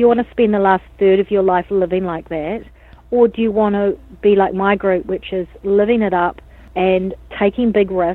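This woman speaks with a New Zealand accent at a moderate pace. Her pitch is medium and her intonation fairly even. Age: 40s. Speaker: dance academy founder. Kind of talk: interview.

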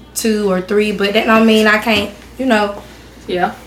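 A woman's fairly high voice, flat and monotone, at a moderate pace, with noticeable background noise and audible room echo. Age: 20s. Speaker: adult daughter of a cousin, young mother. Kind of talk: casual chat.

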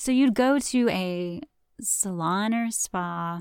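With a Southern US accent, a woman speaks at medium pitch in an animated, calm tone with ordinary pitch variation, on a very clean recording with a silent background. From US South. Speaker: podcast host and esthetician. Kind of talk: casual profane rant. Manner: animated, sarcastic, laughing; mock-calm, slowed storyteller cadence breaking into wry asides.

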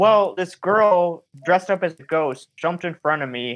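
A man's unremarkable speaking voice at a moderate pace, with ordinary pitch variation. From Michigan. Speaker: paranormal filmmaker and podcaster. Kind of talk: casual chat.

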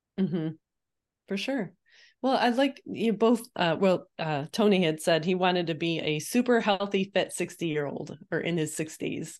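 A woman with an ordinary speaking voice talks at medium pitch and moderate pace with lively intonation against a quiet background. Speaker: podcast co-host and running coach. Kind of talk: casual chat.

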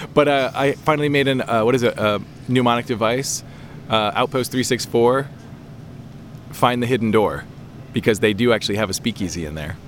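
A man with a medium-pitched voice speaks at a moderate pace with long, frequent pauses, over noticeable background noise. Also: ordinary pitch variation. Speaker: podcast host. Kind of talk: casual chat. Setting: outdoors.

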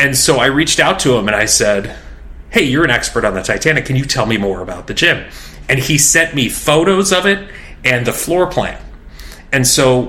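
Over noticeable background noise, a man talks at a fairly quick pace and medium pitch with lively intonation. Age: 40s. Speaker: fitness journalist and author. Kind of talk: interview.

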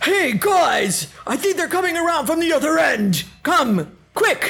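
An extremely high-pitched, put-on character voice is heard. It moves at a fairly slow pace.

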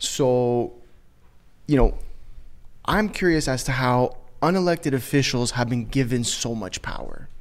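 A man of medium pitch speaks at a fairly slow pace with long, frequent pauses and ordinary pitch variation. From Canada. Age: 20s. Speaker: podcast host. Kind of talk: casual chat.

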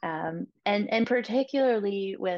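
The woman's voice shows ordinary pitch variation. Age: 20s. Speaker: psychiatry resident doctor. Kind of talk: casual interview chat.

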